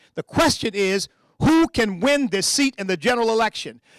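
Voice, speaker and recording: A man with an American accent talks at a moderate pace in an animated tone, his high pitch showing ordinary variation, in a very clean recording with a silent background and a dry, close sound with no echo. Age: 60s. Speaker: political candidate. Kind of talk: campaign speech.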